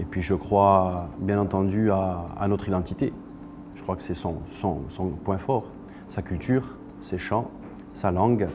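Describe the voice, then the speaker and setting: A man's very deep, low voice in a Corsican accent, very slow, with ordinary pitch variation and long, frequent pauses. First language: Corsican (speaking French). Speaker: singer-songwriter and actor. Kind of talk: interview monologue. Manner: halting, many hesitations.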